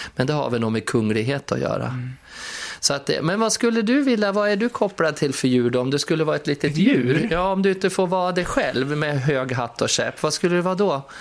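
With noticeable background noise behind him, a man talks at a fairly quick pace. His voice is fairly high in pitch and has very wide pitch swings. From Sweden, Skutskär. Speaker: podcast host, entertainer. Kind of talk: casual chat. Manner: animated.

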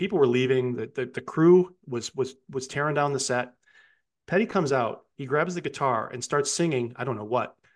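Against a quiet background, a man with an American accent talks in a normal speaking voice at a fairly high pitch. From upstate New York. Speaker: music podcaster. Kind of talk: casual chat.

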